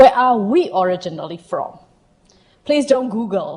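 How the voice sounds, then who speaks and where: A woman with a Burmese accent speaks at a fairly high pitch and a fairly slow pace. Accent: Southeast Asian (Burmese). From Myanmar. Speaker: health equity consultant. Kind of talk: presentation to audience. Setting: stage with audience.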